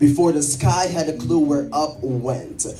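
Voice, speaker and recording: A man delivers his lines very slowly in a dramatic tone, somewhat breathy and dark, mellow, with ordinary pitch variation. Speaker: minister performing spoken word. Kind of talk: spoken word poetry performance. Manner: powerful, rhythmic, dramatic.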